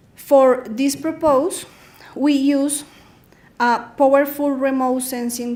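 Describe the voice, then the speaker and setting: A woman with a high pitch at a very slow pace, in audible room echo. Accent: Spanish. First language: Spanish. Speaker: researcher. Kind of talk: conference presentation. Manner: halting.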